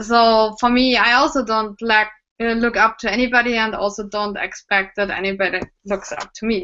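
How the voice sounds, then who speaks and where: Speaking with a German accent, a woman keeps a moderate pace, a fairly high pitch and fairly even intonation. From Germany. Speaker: cosplayer and prop maker. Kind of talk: casual interview chat.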